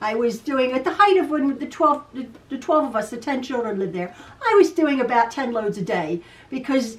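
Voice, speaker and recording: A woman's high-pitched voice moves at a moderate pace with lively intonation. Noticeable background noise is present. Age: 60s. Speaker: quilting video host. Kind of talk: casual chat. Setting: home sewing room. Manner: stutters sometimes; chatty, repetitive.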